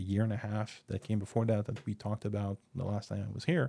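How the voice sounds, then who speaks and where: A man with a normal speaking voice talks fairly quickly at a medium pitch, on a very clean recording with a silent background. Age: 40s. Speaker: returning podcast guest. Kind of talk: casual chat.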